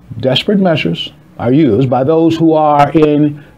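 The speaker uses a normal speaking voice with an American accent. The pace is fairly slow. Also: man. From US Midwest, Chicago. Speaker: advocate pitching a humanitarian housing project. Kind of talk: scripted narration. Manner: formal.

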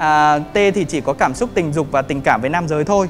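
Faint music sits behind a man talking at a moderate pace. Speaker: presenter. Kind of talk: lecture. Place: hall. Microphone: handheld.

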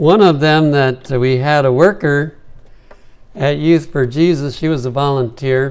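A man at a very slow pace with ordinary pitch variation. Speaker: pastor or preacher. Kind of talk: sermon. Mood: warm, smiling. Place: church. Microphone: lapel.

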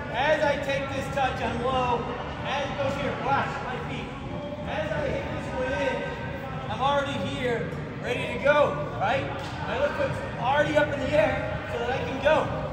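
A man speaks at a fairly slow pace with audible room echo. Loud background noise fills the recording. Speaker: youth soccer coach. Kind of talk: live coaching drill, calling out counts and cues to a group. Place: gym. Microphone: camera far.

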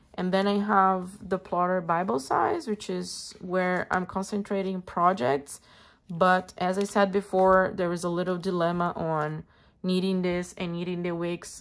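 A woman talks in a Portuguese accent at a fairly slow pace. Her intonation is fairly even. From Brazil. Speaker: planner and stationery youtuber; stationery youtuber. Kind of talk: casual show-and-tell video. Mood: relaxed, friendly. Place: home room. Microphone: phone near.

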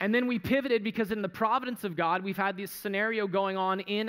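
A man at a very fast pace, bright and sharp in tone, with fairly even intonation against a quiet background. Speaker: pastor. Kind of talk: sermon. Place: church. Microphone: headset.

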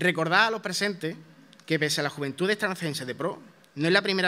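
A man speaks in a bright, sharp tone. His pitch variation is ordinary. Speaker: presenter introducing the proclaimer. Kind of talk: formal introduction at a ceremony. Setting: theatre stage with audience. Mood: solemn, devotional. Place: stage. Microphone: podium.

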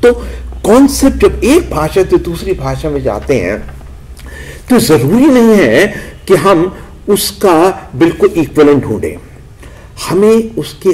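A man speaks here. His talk is broken by long, frequent pauses. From Uttar Pradesh, India. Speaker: anthropology professor; professor, speaker. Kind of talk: lecture. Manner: halting. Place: hall. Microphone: podium.

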